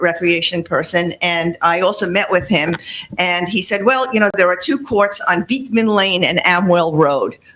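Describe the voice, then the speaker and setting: A woman talks at a moderate pace with ordinary pitch variation and very even loudness. Noticeable background noise is present. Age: 70s. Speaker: public commenter at town meeting. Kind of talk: public comment, partly read from paper. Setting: town meeting.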